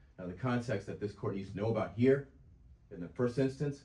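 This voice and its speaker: A somewhat breathy, dark, mellow voice with an American accent, with audible room echo. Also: man. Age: 60s. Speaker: self-represented litigant. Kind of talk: courtroom oral argument. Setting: courtroom hearing. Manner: halting, repeats words.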